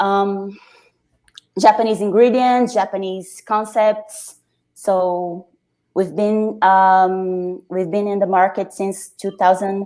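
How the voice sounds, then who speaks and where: A woman with a Brazilian accent speaks very slowly at a medium pitch, her tone dark and mellow and her intonation monotone and flat. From Brazil, Rio de Janeiro. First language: Portuguese. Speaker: brewer. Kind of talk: interview. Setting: video call from home. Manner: halting.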